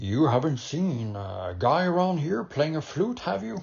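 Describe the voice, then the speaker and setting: A man's put-on character voice, fairly high-pitched, with very wide pitch swings at a moderate pace. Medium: read story. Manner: blunt, gruff.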